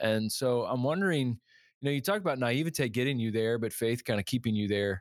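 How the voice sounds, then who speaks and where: A man speaks in a normal speaking voice at a medium pitch and a fairly quick pace. His pitch variation is ordinary, and the recording is very clean with a silent background. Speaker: podcast co-host. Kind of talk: interview conversation.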